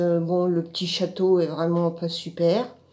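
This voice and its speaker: A woman speaks at a fairly low pitch in a dark, mellow tone. The background is quiet. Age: 60s. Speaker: art course student. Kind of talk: testimony. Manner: halting, with many fillers.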